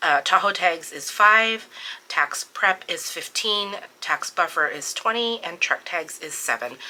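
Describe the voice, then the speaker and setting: Lively intonation from a woman with a plain, everyday voice, medium pitch and a fairly slow pace. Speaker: budgeting vlogger. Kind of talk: budget walkthrough tutorial. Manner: casual, many filler words.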